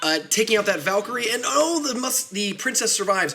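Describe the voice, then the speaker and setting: A man's raised, projected voice, animated in tone, with very wide pitch swings at a very fast pace over noticeable background noise. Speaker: game streamer and tournament caster. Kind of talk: live game commentary. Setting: home studio apartment, live stream.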